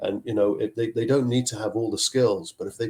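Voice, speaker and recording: Speaking at a fairly quick pace, a man uses a dark, mellow, somewhat breathy voice at medium pitch. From Zambia, schooled later in Scotland. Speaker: chief technology officer. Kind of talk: podcast interview.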